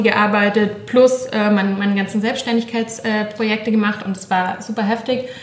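Over noticeable background noise, a woman speaks at a fairly slow pace with fairly high pitch and monotone, flat intonation. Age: 40s. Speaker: podcast host, cookbook author. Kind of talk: casual interview chat. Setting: home kitchen.

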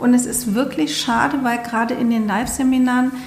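A woman's high voice at a moderate pace, with audible room echo and noticeable background noise. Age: 50s. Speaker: podcast host and coach. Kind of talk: casual chat. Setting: studio.

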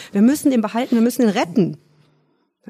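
A woman's voice carries a dark, mellow tone with vocal fry. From Rhineland, Germany (between Cologne and Düsseldorf). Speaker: dog trainer and animal psychologist. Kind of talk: casual interview.

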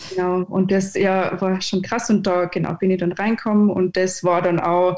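At a medium pitch, a woman speaks in monotone, flat intonation. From Austria, Upper Austria (Innkreis village). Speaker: 3D motion designer. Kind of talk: casual chat.

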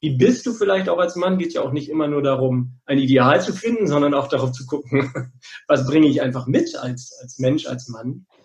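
A man with a fairly high, somewhat breathy voice speaks at a moderate pace. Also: ordinary pitch variation. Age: middle-aged. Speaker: psychologist and men's therapist. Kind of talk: podcast interview. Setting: working from home.

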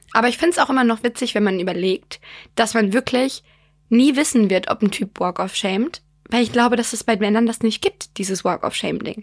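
A woman's plain, everyday voice, fairly high in pitch, with ordinary pitch variation and a fairly quick pace. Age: 20s. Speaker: podcast co-host. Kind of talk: casual chat.

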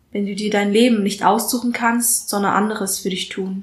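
A woman talks at a medium pitch and a fairly slow pace. Her intonation is monotone and flat. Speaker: spoken word artist and student. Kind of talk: spoken word poem, performed aloud. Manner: deliberate, rhythmic, emphatic delivery.

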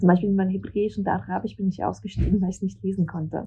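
Her voice has a somewhat breathy quality. The woman talks at a very fast pace. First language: not German (learned German at school as migrant) (speaking German). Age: 30s. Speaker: novelist and essayist. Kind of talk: casual interview. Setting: remote call to Berlin.

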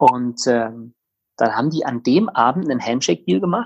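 A man talks at a moderate pace in a normal speaking voice with medium pitch. His intonation is lively. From Bavaria, Tegernsee near Munich. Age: 30s. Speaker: startup co-founder. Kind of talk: interview.

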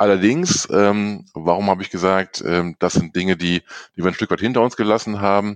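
The speaker keeps a moderate pace with hardly any pauses and fairly even intonation. The sound is dry and close, with no echo. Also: man, fairly low pitch for a man. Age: 40s. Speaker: IT development manager. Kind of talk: interview. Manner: many filler sounds.

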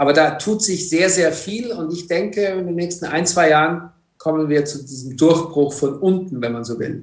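In a room with audible echo, a man with a high pitch speaks at a moderate pace with ordinary pitch variation. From Egypt. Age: 50s. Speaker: entrepreneur. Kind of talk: interview. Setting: video call.

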